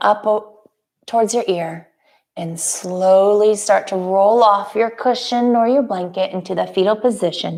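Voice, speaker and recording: A woman at a medium pitch, with fairly even intonation and a fairly slow pace. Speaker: yoga instructor. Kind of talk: casual chat with live viewers; guided yoga class. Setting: live stream. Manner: soft-spoken.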